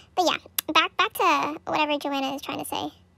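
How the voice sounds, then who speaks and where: A raised, projected voice with a bright, sharp tone, ordinary pitch variation, a fairly quick pace and dry sound with no echo. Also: woman. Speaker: camp counselor vlogger. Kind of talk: casual vlog chat. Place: car. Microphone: phone near.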